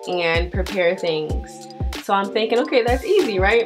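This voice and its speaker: Clear background music beneath a woman's voice. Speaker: vlogger. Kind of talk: casual storytime vlog chat.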